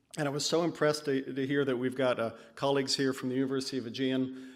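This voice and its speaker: With an American accent, a man speaks at a fairly quick pace in a medium pitch, his intonation monotone and flat, and audible room echo surrounds him. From California. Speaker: conference speaker, PhD candidate. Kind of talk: conference talk. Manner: hesitant, with fillers.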